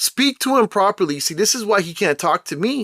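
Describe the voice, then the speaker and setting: A man's raised, projected voice, bright and sharp in tone with lively intonation, dry and close with no echo on a very clean recording with a silent background. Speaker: commentary vlogger. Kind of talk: opinion monologue. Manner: loud; animated.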